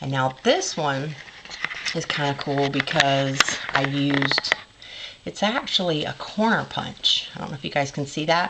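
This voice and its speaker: A woman with a very deep, low pitch at a fairly slow pace, with ordinary pitch variation and noticeable background noise. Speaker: crafter, former scrapbook store owner. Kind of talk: casual craft show-and-tell to camera.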